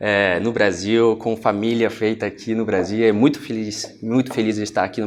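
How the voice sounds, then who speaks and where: Moderately paced male speech with noticeable noise behind it. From France. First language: French (speaking Portuguese). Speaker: finance executive. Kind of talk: TV interview. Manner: halting, with fillers.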